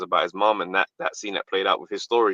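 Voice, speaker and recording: A man speaks with a British accent in an animated tone. The sound is dry and close, with no echo. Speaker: comedian and actor. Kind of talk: interview answer. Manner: casual, animated storytelling.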